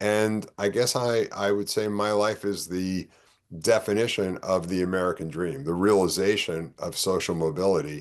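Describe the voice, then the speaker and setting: This man speaks with a New York accent at a fairly low pitch and a moderate pace. His pitch varies in an ordinary way over a quiet background. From New York (Bronx, Yonkers). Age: 60s. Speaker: political candidate. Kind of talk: interview. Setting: podcast.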